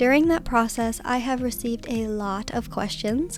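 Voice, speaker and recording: Music plays in the background as a woman speaks at a moderate pace. Her fairly high voice shows ordinary pitch variation. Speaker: Minecraft builder. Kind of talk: gaming build commentary.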